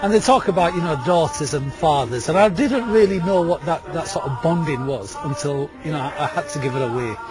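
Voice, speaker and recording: A fairly high-pitched man's voice, fairly quick and lively in intonation, with hardly any pauses and music in the background. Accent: Yorkshire. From Yorkshire, Leeds. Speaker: storyteller. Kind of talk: interview. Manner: halting, repetitive.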